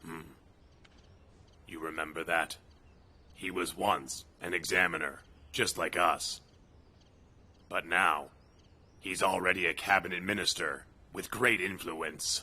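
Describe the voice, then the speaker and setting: A man puts on a raspy character voice with a very deep, low pitch, speaking at a fairly slow pace with long, frequent pauses and big swings in loudness. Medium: fan dub.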